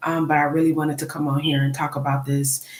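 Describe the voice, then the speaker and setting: A woman talks in a soft-spoken way. Her pitch is very deep and low. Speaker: nurse teaching diabetics. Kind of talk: live stream talk.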